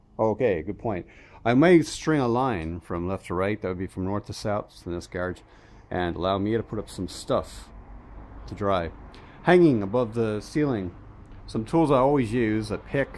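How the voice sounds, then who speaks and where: In a normal speaking voice, a man talks at a moderate pace and fairly low pitch, with light background noise. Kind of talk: casual vlog chat. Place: garage. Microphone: phone near.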